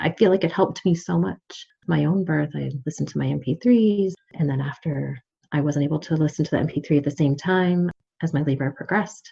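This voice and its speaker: This woman has a very deep, low pitch and a somewhat breathy voice. She talks at a fairly quick pace with lively intonation. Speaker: midwife. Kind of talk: casual chat. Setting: podcast interview.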